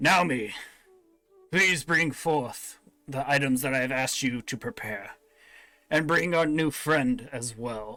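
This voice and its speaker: A man talks in a put-on character voice. His pace is fairly slow, with long, frequent pauses. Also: fairly high pitch for a man, ordinary pitch variation. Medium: actual play. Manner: measured, formal.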